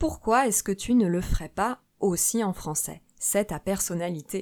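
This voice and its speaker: On a very clean recording with a silent background, a woman with an ordinary speaking voice speaks at a fairly slow pace, medium in pitch and with lively intonation. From Paris suburbs, France. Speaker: French teacher podcaster. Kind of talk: scripted language lesson. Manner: clear, teacher-like.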